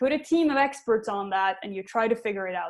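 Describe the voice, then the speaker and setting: The speaker uses lively intonation and a fairly quick pace in a Swedish accent. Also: woman. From Sweden. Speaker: tech company CEO. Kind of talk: panel Q&A. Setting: online web conference.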